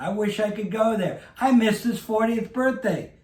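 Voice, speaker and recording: A man talks in a high pitch. Audible room echo and noticeable background noise fill the recording. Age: 70s. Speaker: vintage clothing dealer. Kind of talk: casual chat.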